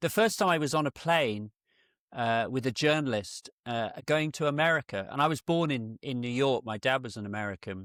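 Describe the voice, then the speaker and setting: A man speaks with a British accent and lively intonation. The sound is dry and close with no echo, on a very clean recording with a silent background. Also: medium pitch for a man, moderate pace. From UK, rural area. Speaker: portrait photographer. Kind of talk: in-depth interview.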